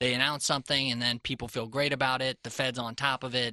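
A man with a medium pitch speaks at a fairly quick pace in a monotone, flat way. His tone is bright and sharp, and the sound is dry and close with no echo. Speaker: radio host and financial planner. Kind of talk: radio talk show, conversational. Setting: radio studio.

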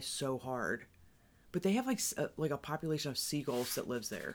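A woman's very deep, low voice at a moderate pace. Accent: American. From US Midwest, Cincinnati area. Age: 30s. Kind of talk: casual chat.

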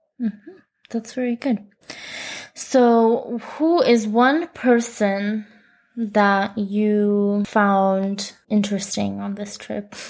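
An American accent at a very slow pace, with ordinary pitch variation. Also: woman, medium pitch for a woman. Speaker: missionary podcast host. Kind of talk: casual interview chat.

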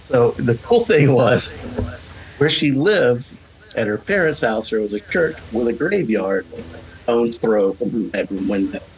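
Noticeable background noise surrounds a man speaking at a medium pitch. He keeps a moderate pace and lively intonation. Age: 40s. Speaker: horror podcast co-host, guest. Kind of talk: casual chat.

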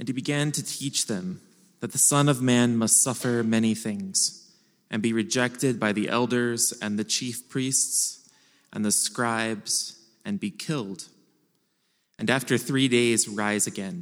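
In an ordinary speaking voice, a man talks fairly slowly at a medium pitch with ordinary pitch variation. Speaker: scripture reader. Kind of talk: reading aloud. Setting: church.

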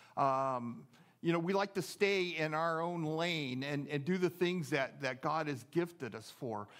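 Using an unremarkable speaking voice, a man with an American accent speaks at a moderate pace and a fairly high pitch with ordinary pitch variation. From US Pacific Northwest (Seattle). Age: 60s. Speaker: pastor. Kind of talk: sermon. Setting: church.

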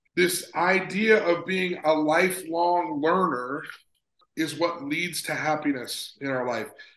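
A man speaks at a very slow pace in a high pitch with ordinary variation. Room echo is audible. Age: 40s. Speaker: sports psychologist. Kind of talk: casual chat.

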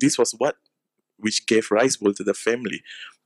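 A man talks in an ordinary speaking voice at medium pitch and a moderate pace, with fairly even intonation. The sound is dry and close with no echo. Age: 20s. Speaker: preacher. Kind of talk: sermon.

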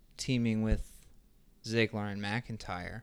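A man with an American accent speaks at a medium pitch with fairly even intonation. The recording is very clean, with a silent background. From New Jersey. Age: 30s. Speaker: podcast co-host. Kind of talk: casual chat.

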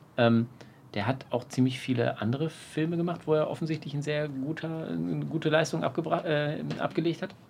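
Here a man speaks at a moderate pace. His pitch variation is ordinary. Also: fairly high pitch for a man. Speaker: podcast co-host. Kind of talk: casual chat. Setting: outdoors on a terrace. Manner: loud.

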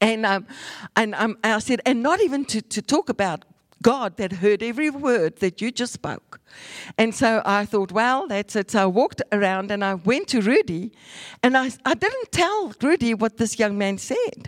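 On a very clean recording with a silent background and a dry, close sound with no echo, a woman with a plain, everyday voice speaks at a moderate pace with lively intonation. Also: fairly high pitch for a woman. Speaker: evangelist preacher. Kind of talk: sermon.

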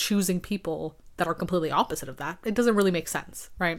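A woman talks at a fast pace in a raspy voice, fairly low in pitch, with ordinary pitch variation.

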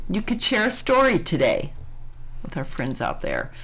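A woman's voice with vocal fry and very wide pitch swings. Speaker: podcast host. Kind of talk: interview.

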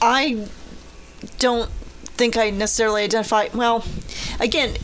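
Noticeable background noise is present. A woman with a fairly high pitch speaks at a moderate pace.

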